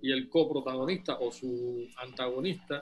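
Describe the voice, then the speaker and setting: This man speaks at a fairly slow pace. His pitch is medium, with ordinary pitch variation. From Cuba. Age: 60s. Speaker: novelist. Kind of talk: interview. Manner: halting.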